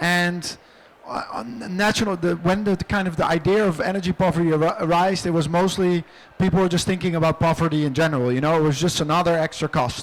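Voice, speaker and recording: Here a man with a high pitch talks at a very fast pace, his intonation fairly even. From Netherlands. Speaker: energy policy expert. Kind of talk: panel Q&A answer. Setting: conference pavilion. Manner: halting.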